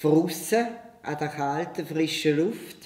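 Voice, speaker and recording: A woman talks at a very slow pace. Audible room echo surrounds her voice. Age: 80s+. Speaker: gymnastics teacher, founder of parent-child gymnastics. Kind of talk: interview answer. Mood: warm, cheerful. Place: home room.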